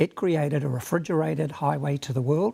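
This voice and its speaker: With a New Zealand accent, a man speaks at a moderate pace in a dark, mellow, somewhat breathy voice of fairly high pitch, recorded with a dry, close sound and no echo. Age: 70s. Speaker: panel guest. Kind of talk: panel discussion.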